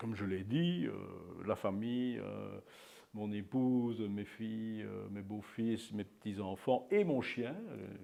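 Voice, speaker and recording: Very slow speech from a man, fairly low in pitch, its pitch varying in an ordinary way. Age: 60s. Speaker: local politician. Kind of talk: interview. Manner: hesitant, many fillers.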